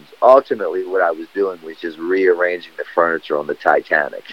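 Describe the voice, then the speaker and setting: The speaker is male. His recording sounds close and dry, without any echo. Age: 40s. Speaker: skateboarder and recovery advocate. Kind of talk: casual interview.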